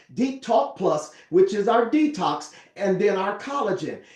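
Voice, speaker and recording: Against noticeable background noise, a high-pitched man talks at a fairly slow pace in an animated tone with lively intonation. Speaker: network marketing presenter. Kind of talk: sales pitch.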